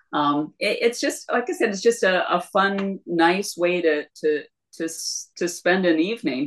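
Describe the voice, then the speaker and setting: A woman with an Upper Midwest accent speaks at a fairly slow pace and medium pitch with lively intonation. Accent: Upper Midwest American (Michigan). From northern Michigan, Leelanau County. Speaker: retired math teacher and former paralegal. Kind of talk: casual interview chat.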